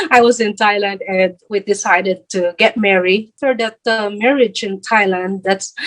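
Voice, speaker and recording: In a Filipino accent, a woman speaks at a moderate pace with medium pitch and fairly even intonation. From Philippines. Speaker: vlogger. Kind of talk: interview. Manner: halting.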